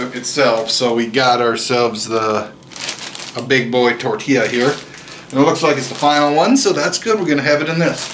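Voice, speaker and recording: A man keeps a moderate pace and ordinary pitch variation while noticeable background noise plays on. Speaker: home cook vlogger. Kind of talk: casual cooking tutorial. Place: kitchen. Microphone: camera far.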